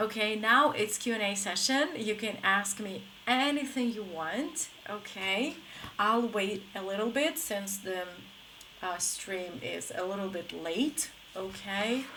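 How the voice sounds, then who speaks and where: A woman speaks at a very slow pace in an American accent, her pitch medium. Her intonation is lively, and there is noticeable background noise. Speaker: English teacher. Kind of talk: live stream lesson. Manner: casual, filler-heavy.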